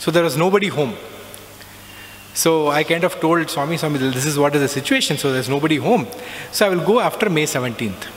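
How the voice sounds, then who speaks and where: The delivery is very fast with lively intonation, broken by long, frequent pauses, against noticeable background noise. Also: man, fairly high pitch for a man. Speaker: alumnus speaker sharing spiritual experiences. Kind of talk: testimony.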